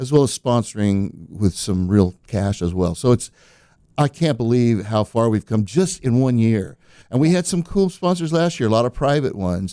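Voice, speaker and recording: The voice has a dark, mellow tone and very wide pitch swings at a moderate pace, recorded dry and close with no echo. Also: man, medium pitch for a man. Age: 60s. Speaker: singer-songwriter. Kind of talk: casual chat.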